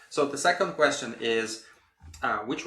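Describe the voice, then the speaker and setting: Lively intonation from a man, with audible room echo. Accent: Russian. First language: Russian. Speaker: podcast host. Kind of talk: podcast interview.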